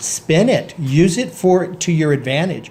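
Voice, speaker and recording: A man talks with ordinary pitch variation. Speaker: small business co-owner, vlogger. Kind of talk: casual chat. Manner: halting, many repetitions.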